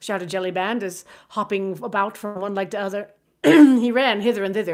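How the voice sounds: The quiet background leaves a natural reading voice clearly heard.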